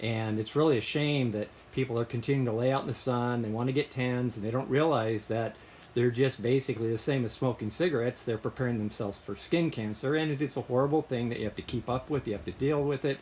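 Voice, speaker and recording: A man's medium-pitched voice at a very fast pace, fairly even in intonation, with noticeable background noise. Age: 60s. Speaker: vlogger sharing health update. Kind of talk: personal video update. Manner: halting, frequent uh fillers.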